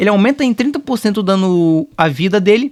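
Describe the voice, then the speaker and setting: A man talks at a fairly quick pace with a high pitch and lively intonation. The sound is dry and close, with no echo. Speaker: gaming YouTuber. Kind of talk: game analysis commentary. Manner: fast; halting, stuttering and repeating.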